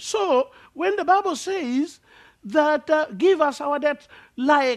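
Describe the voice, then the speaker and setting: Against a quiet background, a man speaks with a Kenyan accent. His pitch swings very widely. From Kenya, rural village near Lake Victoria. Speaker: preacher. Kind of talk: sermon. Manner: halting, many fillers.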